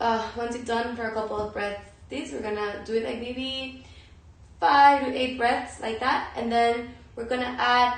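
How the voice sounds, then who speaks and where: Over noticeable background noise and audible room echo, a woman with a Spanish accent talks at a fairly slow pace, her fairly high voice keeping fairly even intonation. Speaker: yoga and meditation teacher. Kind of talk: guided yoga and breathing instruction. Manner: halting.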